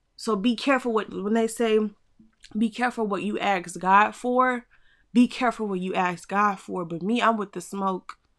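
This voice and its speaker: A woman speaks at a medium pitch and moderate pace with fairly even intonation. The recording is very clean, with a silent background. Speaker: podcast host. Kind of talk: faith-based solo podcast talk. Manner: casual, conversational.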